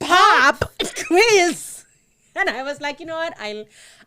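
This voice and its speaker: Her voice is raised and projected, high in pitch, bright and sharp in tone, and full of very wide pitch swings. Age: 30s. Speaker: podcast co-host. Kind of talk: casual chat. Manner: animated.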